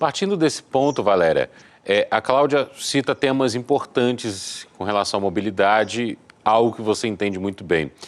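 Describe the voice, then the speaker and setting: A man speaks at a moderate pace in an ordinary speaking voice, medium in pitch, with lively intonation. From Rio de Janeiro, Brazil. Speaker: radio host. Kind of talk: interview.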